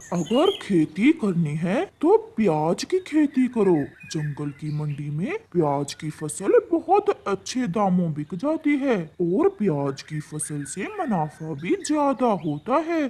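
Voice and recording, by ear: In a cartoonish character voice, the speaker talks very slowly. The pitch sits in the middle range.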